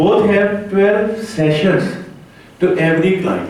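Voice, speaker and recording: The speaker has a non-native accent and talks at a fairly slow pace. Audible room echo and noticeable background noise come through. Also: man. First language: not English. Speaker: conference speaker, rehab organization head. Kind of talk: conference talk. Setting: conference hall with audience. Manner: halting, many fillers.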